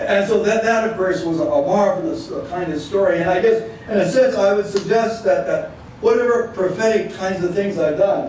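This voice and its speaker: Moderate pace from a man at a high pitch, ordinary pitch variation, audible room echo and noticeable background noise. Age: 70s. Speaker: retired Methodist minister and panelist. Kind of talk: panel talk. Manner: halting, many repetitions.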